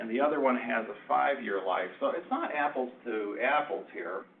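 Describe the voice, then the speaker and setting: Audible room echo surrounds this man as he talks at a moderate pace. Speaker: presenter on project finance. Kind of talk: lecture.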